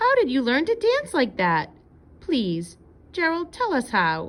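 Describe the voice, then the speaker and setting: In a put-on character voice, the speaker talks at a fairly slow pace with a high pitch. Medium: read story.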